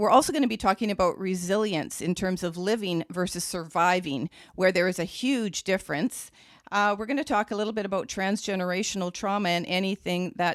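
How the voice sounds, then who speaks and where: An unremarkable speaking voice from a woman, medium in pitch with ordinary pitch variation, at a fairly quick pace, in a dry, close sound with no echo. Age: 60s. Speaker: podcast host. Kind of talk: podcast interview.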